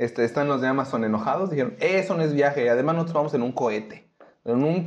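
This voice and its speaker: Here a man talks at a fairly quick pace and a medium pitch. His intonation is lively. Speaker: podcast co-host. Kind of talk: casual chat.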